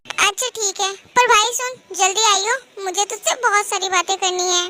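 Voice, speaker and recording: A woman puts on a character voice at an extremely high pitch. She keeps a moderate pace and fairly even intonation. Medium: read story. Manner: dramatic, pouty.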